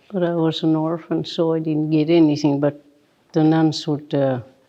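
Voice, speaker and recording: A woman with a Maritime Canadian accent, very deep and low, in a flat monotone at a moderate pace. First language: Mi'kmaq. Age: 80s+. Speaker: residential school survivor. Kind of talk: interview.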